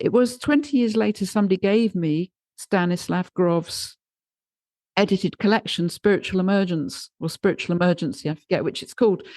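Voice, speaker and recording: In a dry, close sound with no echo, a woman speaks at a fairly quick pace with a medium pitch and ordinary pitch variation, a plain, everyday voice. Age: 60s. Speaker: podcast host. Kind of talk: conversational interview.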